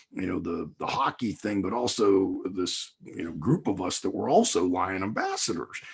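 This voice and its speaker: Using a plain, everyday voice, a man with fairly low pitch talks with hardly any pauses. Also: ordinary pitch variation, moderate pace. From Pittsburgh, Pennsylvania. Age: 60s. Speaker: motivational speaker and former hockey coach. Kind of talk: podcast interview.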